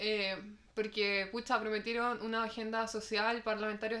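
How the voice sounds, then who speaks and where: A woman speaks at a fairly high pitch with a Chilean accent. Her intonation is monotone and flat, at a moderate pace. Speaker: podcast host. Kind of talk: casual chat.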